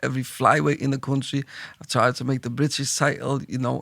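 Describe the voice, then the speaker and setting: A man with a Liverpool accent, medium pitch and vocal fry, at a fairly quick pace with monotone, flat intonation. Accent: Scouse. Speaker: boxing gym owner and manager. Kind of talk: casual podcast chat.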